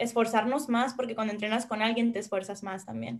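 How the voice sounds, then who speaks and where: A woman uses a plain, everyday voice, fairly high in pitch and with fairly even intonation. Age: 20s. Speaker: university athlete. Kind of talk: interview.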